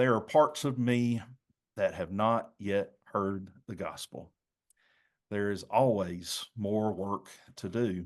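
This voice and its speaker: A man talks at a very slow pace with long, frequent pauses and ordinary pitch variation. He has a slight Southern US accent, and the background is quiet. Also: fairly low pitch for a man. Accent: mild Southern US. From North Carolina. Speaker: pastor. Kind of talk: presentation.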